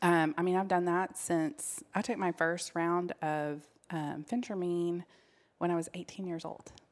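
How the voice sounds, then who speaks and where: Using an unremarkable speaking voice, a woman talks at a fairly slow pace and a fairly low pitch with ordinary pitch variation. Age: 40s. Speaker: health professional. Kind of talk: casual chat.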